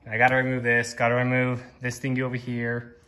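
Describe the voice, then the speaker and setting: This man's voice is heard. It has a bright, sharp tone. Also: quiet background. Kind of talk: casual vlog chat. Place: garage. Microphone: phone near.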